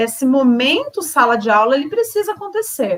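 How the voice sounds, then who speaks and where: High female pitch swinging very widely up and down. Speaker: education trainer. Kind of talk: online teacher training presentation.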